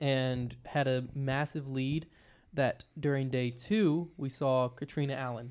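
In a very clean recording with a silent background, a man with a medium-pitched voice speaks at a very slow pace with fairly even intonation. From Virginia. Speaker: disc golf podcast co-host. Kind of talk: casual chat. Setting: live stream from hotel room. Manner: quiet.

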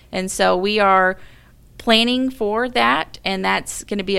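An unremarkable speaking voice with an American accent moves at a moderate pace with ordinary pitch variation, on a very clean recording with a silent background. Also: woman. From US South, Mobile, Alabama. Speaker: engineering director. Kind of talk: interview.

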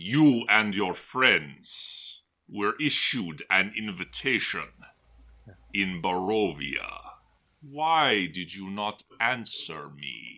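A man puts on a character voice at a fairly low pitch. He speaks at a very slow pace. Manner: cold, formal, imperious.

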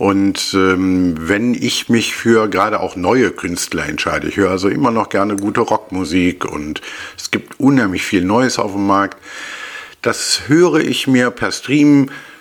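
With noticeable background noise, a fairly low-pitched man talks at a moderate pace using lively intonation. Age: 50s. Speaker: marksmen's club king. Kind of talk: casual interview. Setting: studio, face to face.

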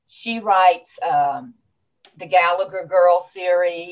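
With music in the background, a woman speaks in a Southern US accent at a fairly low pitch with ordinary pitch variation. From Louisiana, small town. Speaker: author. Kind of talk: interview.

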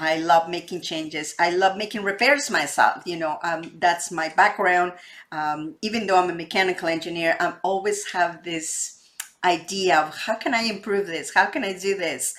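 A woman speaks in a Spanish accent. Her pace is moderate. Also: fairly low pitch for a woman, ordinary pitch variation. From Mexico. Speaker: real estate podcast host, wealth advisor. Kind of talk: interview.

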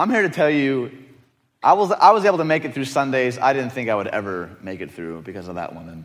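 A man talks at a very fast pace with vocal fry, very wide pitch swings and big swings in loudness. The room echo is audible. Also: medium pitch for a man. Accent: American. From Detroit, US Midwest. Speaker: teaching pastor. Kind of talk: sermon. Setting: church with audience. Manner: animated.

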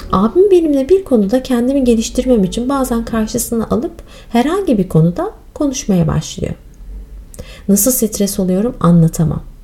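A woman speaks at a moderate pace, her pitch fairly high and swinging very widely. Noticeable background noise runs under her voice. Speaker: yoga teacher and podcast host. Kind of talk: personal storytelling monologue. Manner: calm, measured.

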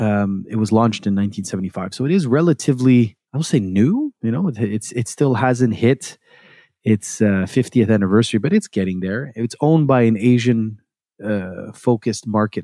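At a moderate pace, a man with a dark, mellow tone and ordinary pitch variation is heard in a very clean recording with a silent background and a dry, close sound with no echo. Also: medium pitch for a man. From Montreal. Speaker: podcast host. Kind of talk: casual chat. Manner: joking, playful.

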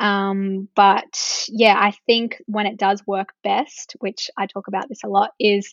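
Speaking in an unremarkable speaking voice, a woman keeps a medium pitch and fairly even intonation. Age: 20s. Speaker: social media marketing business owner. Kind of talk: interview.

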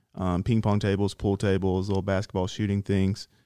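A man speaks at a fairly quick pace with a fairly low pitch and a dark, mellow tone. The recording is very clean with a silent background and a dry, close sound with no echo. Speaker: soldier program representative. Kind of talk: casual chat.

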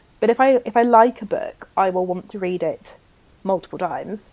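A woman with a British accent speaks in a dark, mellow tone with fairly even intonation. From rural area. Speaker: book podcast co-host. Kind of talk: casual chat.

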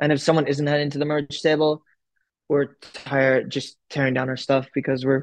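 Speaking at a moderate pace, a man has a fairly high pitch and an ordinary speaking voice. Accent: American. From US Midwest, Chicago. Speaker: indie rock musician. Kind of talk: casual chat.

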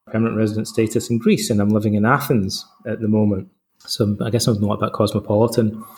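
This man has a Scottish accent and a medium pitch. He talks at a fairly quick pace. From Scotland. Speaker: psychotherapist and Stoicism author. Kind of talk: interview.

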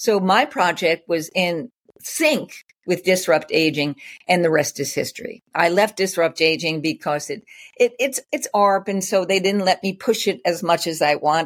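A woman speaks in a plain, everyday voice at a medium pitch and a moderate pace. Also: lively intonation. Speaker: community founder. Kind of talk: casual interview chat.

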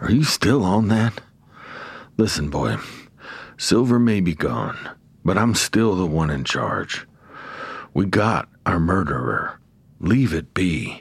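A man puts on a character voice, low-pitched with big pitch swings, vocal fry and a slightly husky edge. He speaks at a slow pace with long, frequent pauses.

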